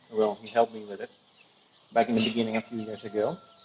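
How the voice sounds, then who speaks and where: There is noticeable noise in the background. The speaker is a man. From Venezuela. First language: Spanish. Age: 20s. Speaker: small farmer. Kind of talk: casual talk to camera, farm tour. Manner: hesitant, searches for words.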